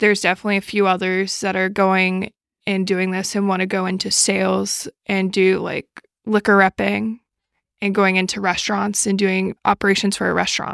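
A woman speaks in an American accent with monotone, flat intonation. The sound is dry and close, with no echo. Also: medium pitch for a woman, moderate pace, very clean recording, silent background. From New York City. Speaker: grad student and bartender. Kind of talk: casual chat.

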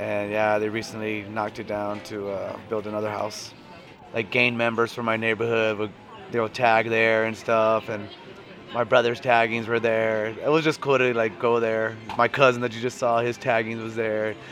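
With an American accent, a man speaks at a moderate pace and a medium pitch. His intonation is flat and monotone, over noticeable background noise. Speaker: radio station worker. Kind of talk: casual chat. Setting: casino cafe.

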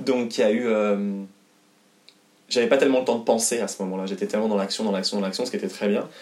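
A man with a fairly low pitch speaks at a very fast pace with fairly even intonation, broken by long, frequent pauses. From France, Haute-Savoie. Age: 20s. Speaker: singer and actor. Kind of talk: interview. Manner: halting, many fillers.

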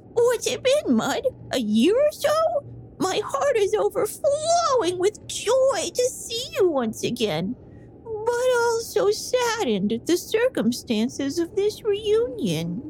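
A put-on character voice speaks at an extremely high pitch and a fairly slow pace. Clear background noise is present. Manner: warm, sad.

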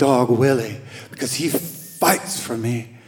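A man puts on a character voice. His voice is husky.

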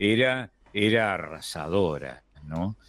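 A man with a fairly low voice speaks with very wide swings in pitch. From Argentina, not the litoral. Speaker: radio host. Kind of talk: radio conversation.

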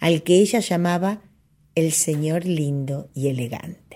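On a very clean recording with a silent background, a woman speaks fairly slowly in a dark, mellow tone. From Argentina. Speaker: radio host and folk singer. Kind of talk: reading aloud.

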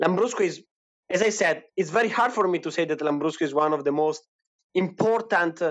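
This man talks at a fairly quick pace in an Italian accent, his pitch high. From Italy, Emilia-Romagna. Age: 20s. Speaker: wine producer. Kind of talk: interview. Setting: online audio chat room.

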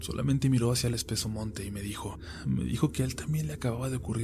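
Lively intonation shapes the passage. It is read aloud in a natural voice.

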